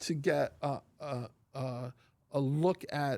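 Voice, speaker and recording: The speaker has an American accent. Intonation stays fairly even. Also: man. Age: 60s. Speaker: podcast host. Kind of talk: casual interview. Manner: halting, many repeated words.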